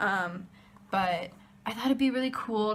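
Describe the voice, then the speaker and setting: A woman speaks in a plain, everyday voice, fairly high in pitch, moving at a moderate speed and varying her pitch in an ordinary way. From USA. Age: 20s. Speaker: college student vlogger. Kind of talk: casual vlog. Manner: casual, filler-heavy.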